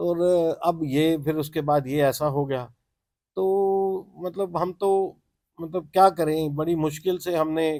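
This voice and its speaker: This man has a dark, mellow tone at a fairly high pitch. His intonation stays fairly even. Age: 60s. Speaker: transporter, car owner. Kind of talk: interview. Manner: halting.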